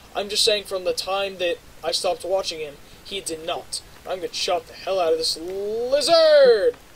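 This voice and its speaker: With noticeable background noise, a man speaks at a high pitch using lively intonation. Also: moderate pace. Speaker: YouTuber. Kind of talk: casual vlog monologue while gaming. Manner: loud; rambling, halting with fillers.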